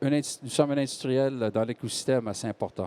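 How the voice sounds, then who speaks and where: A man speaks with a slight Quebec accent. The sound is dry and close, with no echo. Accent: Québécois French, slight. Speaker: medical device company executive. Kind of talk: panel discussion talk. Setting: stage with audience. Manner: halting.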